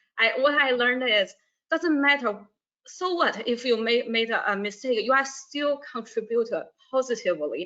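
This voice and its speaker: In a Chinese accent, a woman speaks at a high pitch and moderate pace, her tone bright and sharp and her intonation lively. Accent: non-native, Chinese. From northern China. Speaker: university staff, alumna. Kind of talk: webinar interview. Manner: halting, many fillers and repeats.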